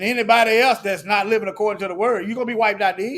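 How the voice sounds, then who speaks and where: A man speaks loudly at a high pitch and a very fast pace. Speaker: religious commentator. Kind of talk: sermon-style commentary with scripture reading. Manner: animated.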